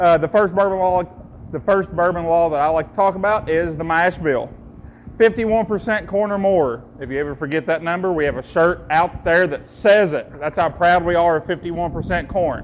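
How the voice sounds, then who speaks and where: A man speaks in an Eastern Kentucky accent. His pitch is high and his pace moderate. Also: ordinary pitch variation. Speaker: distillery tour guide. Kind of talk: guided tasting tour. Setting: distillery tour with visitors. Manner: jokey, conversational.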